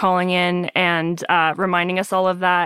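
A woman's voice, medium in pitch, has a bright, sharp tone. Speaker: podcast host. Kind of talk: casual interview chat.

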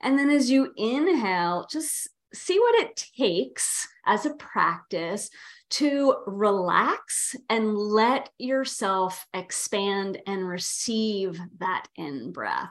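A woman with a fairly high voice speaks very slowly, with very wide pitch swings. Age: 50s. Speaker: yoga therapist. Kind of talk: casual interview conversation.

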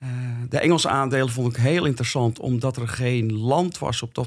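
A medium-pitched male voice at a moderate pace. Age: 60s. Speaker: experienced investor. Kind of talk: casual interview. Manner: halting.

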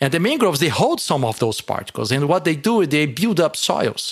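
Lively intonation marks a man speaking with a Portuguese accent. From Brazil. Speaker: marine ecologist and professor. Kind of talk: interview. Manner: halting.

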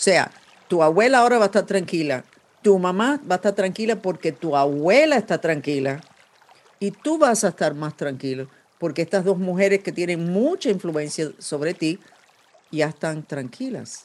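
Lively intonation carries the speech at a moderate pace over noticeable background noise. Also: woman, fairly low pitch for a woman. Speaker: podcast host and psychic. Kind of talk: psychic reading interview. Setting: video call. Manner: serious.

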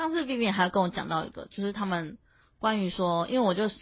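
A woman's somewhat breathy voice moves through ordinary pitch variation. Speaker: podcast co-host. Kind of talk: casual chat.

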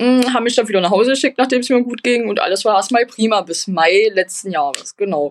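At a very fast pace, a woman with a fairly high pitch speaks with ordinary pitch variation, the sound dry and close with no echo. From eastern Germany, Magdeburg. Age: 20s. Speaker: patient sharing her illness story. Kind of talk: interview.

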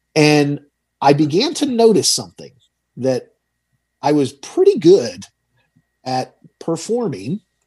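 With a dark, mellow tone, the voice moves at a fairly slow pace through very wide pitch swings and long, frequent pauses. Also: man, fairly high pitch for a man. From Georgia, US South (Tucker, Atlanta area). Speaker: financial advisor and radio host. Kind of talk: interview.

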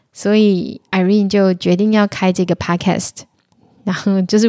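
A woman speaks at a fairly quick pace in a monotone, flat intonation, her medium-pitched voice dark and mellow in tone, on a very clean recording with a silent background. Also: dry, close sound with no echo. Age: 30s. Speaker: podcast host. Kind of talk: solo podcast monologue.

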